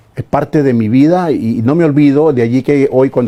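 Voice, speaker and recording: At a moderate pace, a man speaks with medium pitch, ordinary pitch variation and a dark, mellow tone. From Ecuador, Esmeraldas. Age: 70s. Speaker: retired teacher and sports commentator. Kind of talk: interview.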